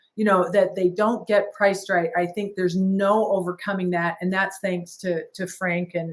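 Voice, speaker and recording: A woman speaks at a medium pitch in a flat monotone, with hardly any pauses. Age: 60s. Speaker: business owner and franchise founder. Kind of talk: podcast interview.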